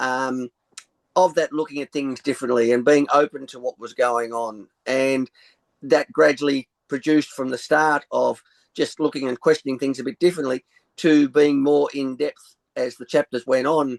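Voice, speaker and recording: With an Australian accent, a man talks at a moderate pace in a fairly high pitch, his intonation fairly even, his loudness swinging widely, and the sound dry and close with no echo. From rural Australia. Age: 60s. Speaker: sound healer. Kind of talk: interview. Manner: halting.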